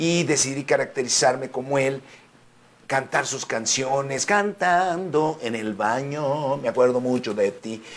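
A man talks at a fairly slow pace in a medium pitch. His tone is animated, with ordinary pitch variation. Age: 50s. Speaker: singer and actor. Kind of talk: interview.

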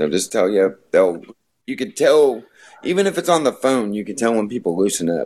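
With an American accent, a man speaks at a medium pitch that swings very widely. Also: moderate pace. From US Midwest, rural northwest Missouri. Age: 40s. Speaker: music booker and interviewer. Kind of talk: casual chat.

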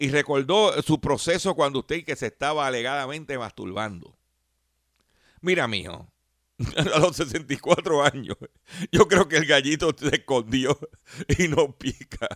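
On a very clean recording with a silent background, a man speaks at a fairly slow pace in a fairly high pitch, his bright, sharp tone moving with lively intonation in a dry, close sound with no echo. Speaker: radio host and consumer advocate. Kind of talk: radio talk show monologue.

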